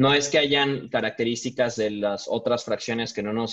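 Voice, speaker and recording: With a quiet background, a man speaks at medium pitch in a monotone, flat intonation. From Mexico City. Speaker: craft brewer; panelist. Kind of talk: panel discussion. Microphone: video call.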